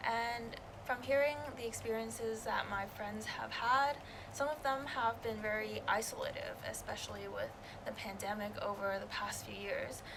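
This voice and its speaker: A woman speaks at a moderate pace. Audible room echo and noticeable background noise are present. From Canada. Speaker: student election candidate. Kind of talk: interview.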